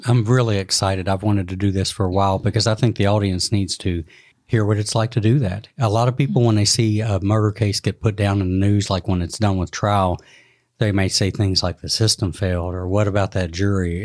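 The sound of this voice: A man speaks at a fairly quick pace with fairly low pitch. His tone is slightly mellow and his intonation fairly even.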